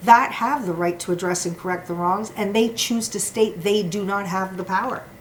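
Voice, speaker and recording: A woman with a Canadian accent talks at a moderate pace in a medium pitch with ordinary pitch variation, and noticeable background noise sits behind her. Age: 60s. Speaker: former liquor store employee, litigant. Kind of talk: prepared statement. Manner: formal.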